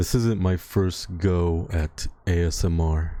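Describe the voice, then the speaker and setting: On a very clean recording with a silent background, a man speaks with a very deep, low pitch and a dark, mellow tone. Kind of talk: ASMR livestream talk.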